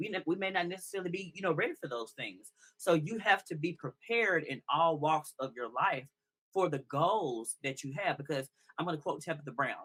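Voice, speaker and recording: With an American accent, the speaker has a bright, sharp tone. The pace is fairly quick, with lively intonation. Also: man, high pitch for a man. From US South, Mississippi. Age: 30s. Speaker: podcast guest. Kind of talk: interview.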